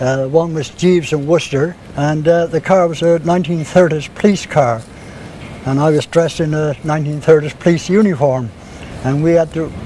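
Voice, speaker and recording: Against noticeable background noise, a man talks with a fairly high-pitched voice. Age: 70s. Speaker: classic car owner. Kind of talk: interview.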